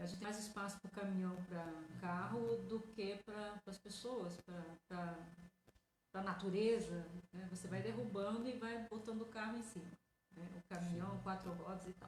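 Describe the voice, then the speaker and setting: The voice belongs to a woman. It sits at a medium pitch and sounds somewhat breathy. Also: ordinary pitch variation, moderate pace. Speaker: radio host. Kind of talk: radio interview host.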